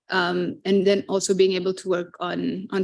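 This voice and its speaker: A woman speaks with a Fijian accent. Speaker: marine conservation professional. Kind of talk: panel discussion.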